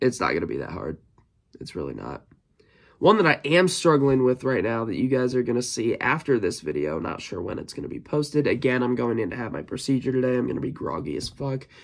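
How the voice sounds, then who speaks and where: Using vocal fry, a man talks very fast with very wide pitch swings. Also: medium pitch for a man. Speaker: music reviewer. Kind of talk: casual album review. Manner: halting, stumbles over words.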